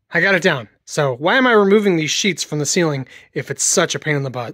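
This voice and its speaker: A quiet background behind a man's dry voice with no echo. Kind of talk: tutorial. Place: workshop. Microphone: phone near.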